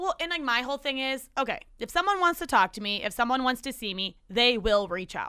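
Raising and projecting her high-pitched voice, a woman talks at a fairly quick pace with hardly any pauses, a bright, sharp tone, and very wide pitch swings. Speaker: podcast host. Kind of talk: casual chat. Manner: fast talker.

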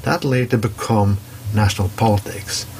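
A man with a Norwegian accent speaks at a moderate pace and fairly low pitch, with ordinary pitch variation. Background noise is noticeable. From Norway. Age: 40s. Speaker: commentary segment contributor. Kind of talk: opinion monologue.

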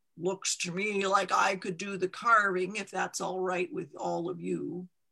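Doing a put-on character voice, a man speaks in a raised, projected, gravelly and raspy voice at a high pitch and a moderate pace. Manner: calm, matter-of-fact.

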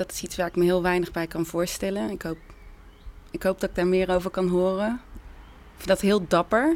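A woman speaks at a moderate pace and medium pitch, her intonation fairly even, with long, frequent pauses. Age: 30s. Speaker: theatre maker and musician. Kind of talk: casual reflective talk. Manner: halting, many fillers.

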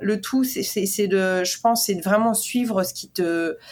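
This woman has an ordinary speaking voice with ordinary pitch variation. She talks at a fairly slow pace. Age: 30s. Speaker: portrait photographer. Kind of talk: interview.

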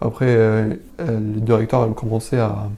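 A man's somewhat breathy voice of medium pitch, dark and mellow in tone. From Syria, Damascus. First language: Arabic (speaking French). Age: 20s. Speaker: refugee interviewee. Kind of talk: personal testimony interview. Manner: halting, many hesitations and repetitions.

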